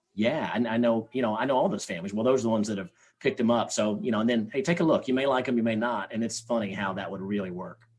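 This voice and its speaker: Speaking very fast with hardly any pauses, a man with a slight Southern US accent uses ordinary pitch variation. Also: medium pitch for a man. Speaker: sales trainer. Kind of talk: podcast interview. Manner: halting.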